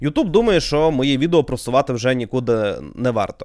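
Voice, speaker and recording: Fairly high for a man, the pitch sits in a plain, everyday voice. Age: 20s. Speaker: YouTuber. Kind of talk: podcast monologue.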